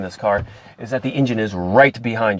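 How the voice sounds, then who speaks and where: A man with a fairly low voice talks at a fairly quick pace with lively intonation. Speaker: car reviewer. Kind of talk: car review while driving. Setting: in a car.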